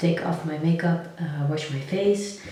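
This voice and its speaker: Here a soft-spoken woman speaks at a fairly slow pace. Noticeable background noise and audible room echo fill the recording. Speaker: lifestyle vlogger. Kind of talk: casual vlog talk.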